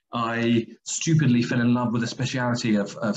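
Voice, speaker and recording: This is a man speaking with an English accent. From England, London. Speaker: medical school vice dean and surgeon. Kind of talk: webinar presentation. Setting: video call.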